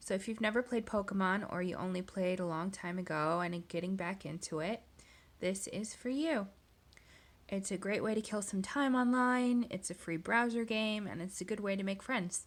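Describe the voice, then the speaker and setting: Speaking at a moderate pace with a plain, everyday voice, a woman holds a medium pitch and ordinary pitch variation on a very clean recording with a silent background. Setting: screen recording voiceover.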